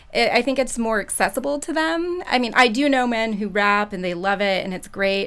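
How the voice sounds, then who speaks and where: With an ordinary speaking voice, a woman talks at a fairly quick pace and a fairly high pitch, her intonation lively and her pauses almost absent. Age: 30s. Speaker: elementary school teacher, twin mother. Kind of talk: panel discussion. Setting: studio. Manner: casual with fillers.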